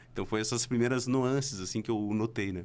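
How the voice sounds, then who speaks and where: A man's voice, with ordinary pitch variation, comes through a very clean recording against a silent background. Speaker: singer and multi-artist. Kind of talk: interview.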